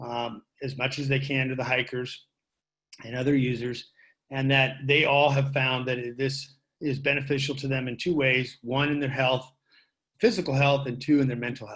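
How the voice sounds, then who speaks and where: Speaking with an American accent, a man keeps a medium pitch and moderate pace in a flat monotone. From Marin County, California. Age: 60s. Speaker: public commenter at board meeting. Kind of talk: public comment.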